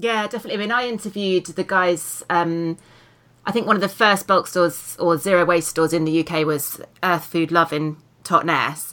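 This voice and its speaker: A woman with a British accent and a fairly low, bright, sharp voice, at a moderate pace with ordinary pitch variation. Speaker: podcast host and author. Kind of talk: casual interview chat. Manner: warm, upbeat.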